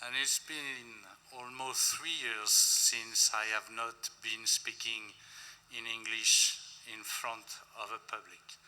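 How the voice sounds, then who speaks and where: In a French accent, a man with a medium pitch speaks at a very slow pace. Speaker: lavender distiller, longtime friend of the deceased. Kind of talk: eulogy.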